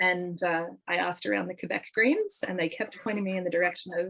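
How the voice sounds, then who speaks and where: Speaking with an Australian accent, a woman delivers her words at a very fast tempo. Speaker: political party leadership candidate. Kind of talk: interview. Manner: many fillers and repeated words.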